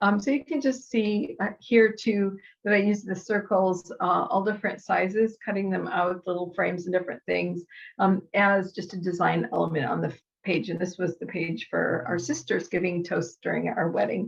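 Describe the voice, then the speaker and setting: At a moderate pace, a woman with a medium pitch and vocal fry speaks with lively intonation. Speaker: scrapbooking crafter demonstrating tools. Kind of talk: tutorial. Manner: casual with many fillers.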